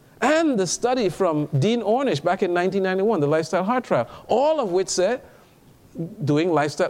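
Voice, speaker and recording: This man's voice is high for a man and moves through very wide pitch swings. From Trinidad. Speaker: physician and health speaker. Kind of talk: lecture.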